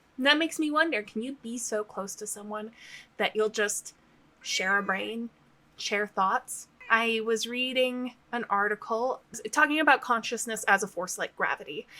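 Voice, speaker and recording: Speaking at a moderate pace, a woman with a fairly high pitch and a bright, sharp tone uses ordinary pitch variation. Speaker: novelist vlogger. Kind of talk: casual video diary.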